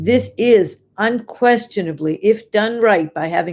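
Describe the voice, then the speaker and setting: Very clean recording with a silent background, featuring a woman whose pitch varies in an ordinary way. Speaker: dietitian hosting a live show. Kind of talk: live stream talk with viewer comments. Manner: animated.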